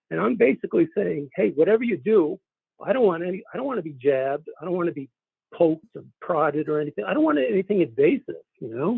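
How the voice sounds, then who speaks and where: A man speaks at a very fast pace in a high pitch. His voice makes very wide pitch swings. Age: 50s. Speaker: caller. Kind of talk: testimony. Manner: halting.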